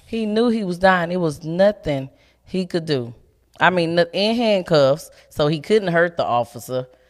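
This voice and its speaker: The speaker has a normal speaking voice with lively intonation and a fairly slow pace. The recording is very clean, with a silent background. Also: woman, fairly low pitch for a woman. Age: 30s. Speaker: nurse and activist. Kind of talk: casual chat. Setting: studio.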